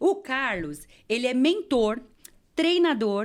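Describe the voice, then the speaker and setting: On a very clean recording with a silent background, a woman's high-pitched voice makes very wide pitch swings. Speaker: podcast host. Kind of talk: interview.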